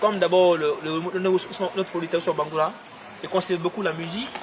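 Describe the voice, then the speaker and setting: With noticeable background noise behind him, a man talks at a moderate pace in a high pitch. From Guinea. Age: 20s. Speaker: pop singer. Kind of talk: interview answer.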